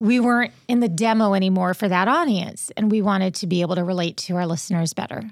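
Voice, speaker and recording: A plain, everyday voice at a fairly quick pace, on a very clean recording with a silent background. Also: woman. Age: 50s. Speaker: radio host and podcaster. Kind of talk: casual interview chat.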